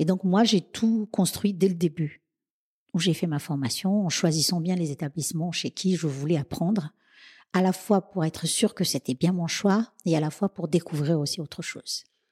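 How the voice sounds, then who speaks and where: Dark and mellow in tone, a woman's somewhat breathy voice sits fairly low in pitch with ordinary variation at a moderate pace. The sound is dry and close with no echo, on a very clean recording with a silent background. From Madagascar, then Réunion from age 11. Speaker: chef and caterer. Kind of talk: interview.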